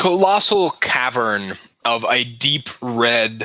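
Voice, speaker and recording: Raspy and medium-pitched, a man performs a put-on character voice. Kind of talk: tabletop game master narration. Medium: actual play. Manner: casual, halting descriptions.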